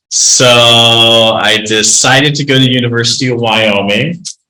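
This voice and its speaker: A man with an American accent speaks with audible room echo around him. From Colorado, Denver area. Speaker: county sheriff. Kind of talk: informal talk to a group. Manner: many fillers and hesitations; speaks carefully, filtering his words.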